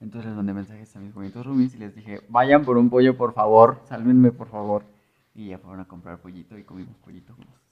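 A man talks at a very fast pace with fairly even intonation. His loudness swings a lot. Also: medium pitch for a man. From Mexico, small rural town near León. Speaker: podcast co-host. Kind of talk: casual chat.

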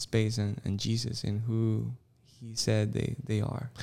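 On a very clean recording with a silent background, a man with a Spanish accent talks at a fairly slow pace and a medium pitch. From Costa Rica. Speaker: campus pastor and worship leader. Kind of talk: interview.

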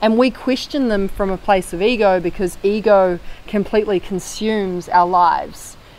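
A woman speaks in a New Zealand accent. Her pitch is medium and her pace moderate. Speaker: former marketing agency owner. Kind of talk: podcast interview. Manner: animated.

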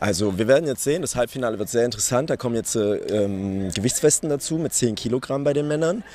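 Speaking very fast with hardly any pauses, a man uses lively intonation at a medium pitch. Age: 20s. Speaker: calisthenics athlete. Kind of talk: interview. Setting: live at a competition venue.

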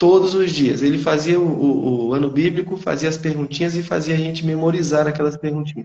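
A plain, everyday voice from a man, fairly high in pitch, with fairly even intonation, a fairly quick pace and hardly any pauses. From Brazil, northeastern Minas Gerais. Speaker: teacher. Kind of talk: testimony.

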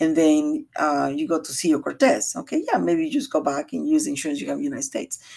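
A woman with a Latin American accent speaks at a very fast pace with hardly any pauses. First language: Spanish. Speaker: realtor. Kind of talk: podcast monologue, informational talk. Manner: halting, with fillers.

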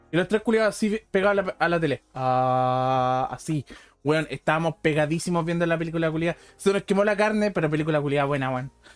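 A man with a Chilean accent, fairly high pitched, at a fairly quick pace with ordinary pitch variation, in a dry, close sound with no echo over a very clean, silent background. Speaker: podcast host. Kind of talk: casual chat. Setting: live stream. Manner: animated.

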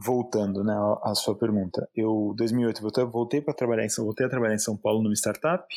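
Intonation stays fairly even in a plain, everyday voice. The recording is very clean and the background silent. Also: man. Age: 30s. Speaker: calligrapher and lettering artist. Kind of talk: interview conversation.

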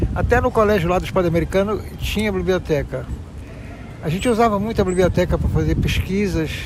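A man at a fairly quick pace, his loudness very even, with noticeable background noise. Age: 70s. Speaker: passerby interviewed in the street. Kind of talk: street interview.

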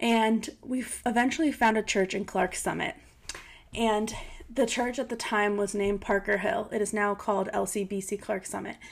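A woman with a plain, everyday voice and an American accent speaks at a fairly high pitch and a moderate pace, with ordinary pitch variation. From US Northeast, Pennsylvania (near Scranton). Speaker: podcast host. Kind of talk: personal testimony monologue. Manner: warm, heartfelt.

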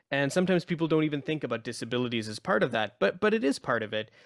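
A man speaks in a Pakistani accent. The background is quiet. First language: Urdu. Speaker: radio host. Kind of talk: interview. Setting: radio studio.

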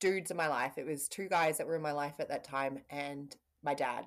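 A woman talks with lively intonation at a moderate pace. Her pitch is very deep and low. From New Zealand. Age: 30s. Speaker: intuitive medium. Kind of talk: casual spiritual conversation.

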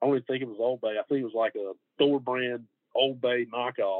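With a Georgia accent, a man speaks at a medium pitch with fairly even intonation. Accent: US Southern (Georgia). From Middle Georgia. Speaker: barbecue pitmaster. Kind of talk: casual interview chat.

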